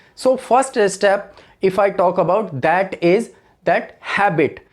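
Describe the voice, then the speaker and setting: Speaking with an Indian accent, the voice shows ordinary pitch variation. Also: man. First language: Hindi. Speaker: English teacher. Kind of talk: tutorial.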